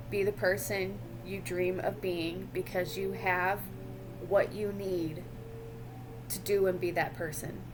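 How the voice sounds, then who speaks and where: With long, frequent pauses, a woman speaks at a very slow pace in a room with audible echo. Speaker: tarot reader. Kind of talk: tarot reading to camera.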